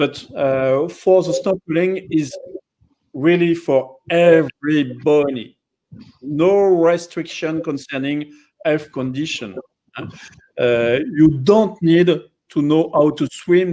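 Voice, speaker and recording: With a strong French accent, the speaker talks at a very slow pace in a dark, mellow tone with ordinary pitch variation. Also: man. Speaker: dive center operator. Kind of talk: live educational stream. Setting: live online stream.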